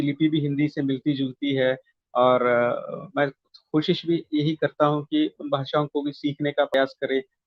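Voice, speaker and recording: This man speaks with a Malayalam accent at a fairly high pitch. His intonation stays fairly even. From South India (Kerala, childhood in Andhra Pradesh). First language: Malayalam (speaking Hindi). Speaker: poet and translator. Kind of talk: interview. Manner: hesitant, many fillers.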